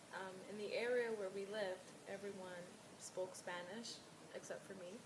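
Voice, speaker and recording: With an American accent, a woman speaks at a medium pitch and moderate pace in a monotone, flat way, amid audible room echo and noticeable background noise. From New York, US. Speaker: client (role-play). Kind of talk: role-play counseling session.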